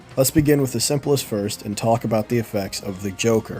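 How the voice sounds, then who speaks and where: Over music in the background, a man talks at a fairly quick pace with a medium pitch and fairly even intonation. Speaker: game designer. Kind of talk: game rules tutorial narration.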